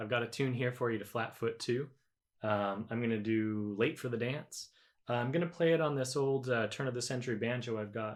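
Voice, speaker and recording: A man with a normal speaking voice, fairly quick, at medium pitch with ordinary pitch variation. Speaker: square dance caller and banjo player. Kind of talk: instructional talk to camera, workshop demonstration.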